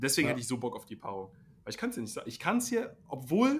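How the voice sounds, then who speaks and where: Speech from this man races along very fast. He uses lively intonation. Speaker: basketball podcast host. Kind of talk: casual chat. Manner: animated.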